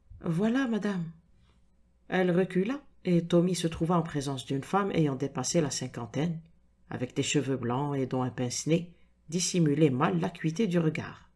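A woman speaks fairly slowly in a dark, mellow tone at a fairly low pitch. Her loudness swings widely. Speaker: audiobook narrator. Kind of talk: reading aloud a detective story with character voices. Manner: dramatic, suspenseful narration with atmospheric pacing.

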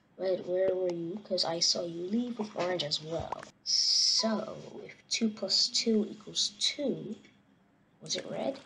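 With clear background noise behind her, a woman talks very slowly. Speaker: gaming youtuber. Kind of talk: casual gameplay commentary. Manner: animated, joking.

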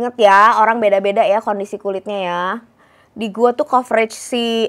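The clip has an ordinary speaking voice at a moderate pace. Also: woman. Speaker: beauty vlogger. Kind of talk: product review; casual product review vlog. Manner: casual, filler-heavy. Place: home room. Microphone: new microphone, sounds tinny; lapel.

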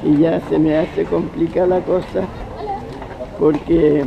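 Man's voice with ordinary pitch variation, over noticeable background noise. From Chile. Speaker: actor and journalist. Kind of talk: interview answer. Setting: outdoors. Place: street.

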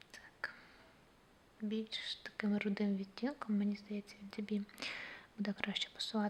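A woman speaks softly at a medium pitch and a fairly slow pace. Her intonation is monotone and flat, with long, frequent pauses. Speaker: ASMR creator. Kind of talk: ASMR personal attention role play. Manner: soft-spoken.

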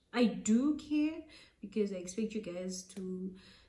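A woman speaks with a fairly high, somewhat breathy voice. Her intonation is lively. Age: 20s. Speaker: vlogger. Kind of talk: casual vlog monologue. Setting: alone in a room. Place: home room. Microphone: phone near.

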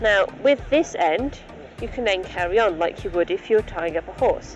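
Against faint music in the background, a woman speaks at a fairly slow pace in a dry sound with no echo. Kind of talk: tutorial. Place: open country. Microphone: phone near.

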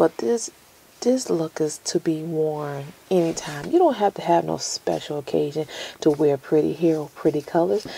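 A woman speaks at a moderate pace with a very deep, low pitch and lively intonation. Light background noise is present. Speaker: beauty vlogger. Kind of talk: casual vlog chat, wig review. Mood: playful, joking. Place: office.

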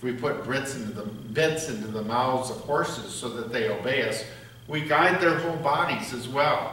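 There is audible room echo and light background noise. A man speaks at a moderate pace with lively intonation. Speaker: pastor or lay reader. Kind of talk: scripture reading. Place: church. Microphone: podium.

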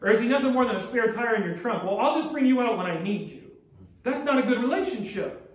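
A man speaks at an extremely high pitch with lively intonation and a very fast pace. Audible room echo surrounds the voice. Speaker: pastor. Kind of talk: sermon. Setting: church. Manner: earnest, urgent preaching; direct, exhorting the congregation. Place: church. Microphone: podium.

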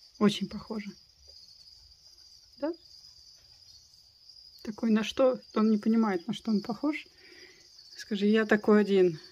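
With light background noise behind her, a woman speaks at a fairly slow pace, with long, frequent pauses and ordinary pitch variation. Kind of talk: casual vlog chat. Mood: playful, amused. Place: home room. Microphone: phone near.

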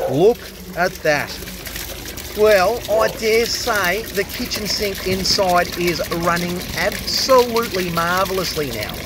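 With a dry sound that has no echo and noticeable background noise, a man talks at a high pitch and a very slow pace. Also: ordinary pitch variation. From Australia. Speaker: drain cleaner. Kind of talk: casual vlog narration. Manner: animated. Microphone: camera far.

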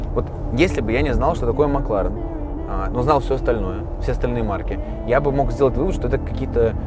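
Clear music plays in the background as a man talks at a fairly quick pace. The sound is dry with no echo. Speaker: car blogger driving. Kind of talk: casual vlog chat. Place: car.

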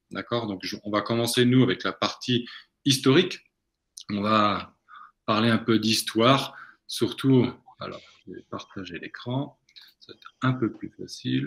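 A fairly slow pace with long, frequent pauses and big swings in loudness. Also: man. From Brittany, France. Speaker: coffee entrepreneur, webinar co-host; webinar co-host. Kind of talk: webinar presentation. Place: home room. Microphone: video call.

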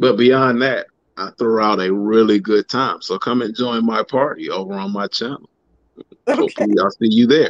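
Against a quiet background, a man of medium pitch talks at a fairly quick pace in a dry sound with no echo. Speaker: guest sneaker youtuber. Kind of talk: casual chat. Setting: video call. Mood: upbeat, joking. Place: home room. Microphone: video call.

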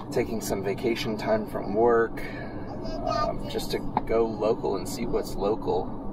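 A man at a fairly slow pace, dry sound with no echo, over loud background noise. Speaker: travel vlogger. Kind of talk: casual vlog chat. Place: car. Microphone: phone near.

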